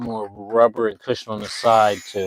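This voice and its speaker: The sound is dry and close, with no echo. A man speaks at a medium pitch and a fairly slow pace. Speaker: vlogger doing a live stream. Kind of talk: casual live-stream tutorial. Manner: quiet while focusing.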